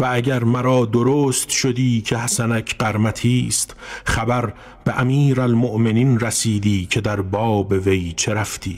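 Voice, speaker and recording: Speaking very slowly, a man keeps his medium-pitched voice fairly even in intonation. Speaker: narrator of classical prose. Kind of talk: literary audiobook reading.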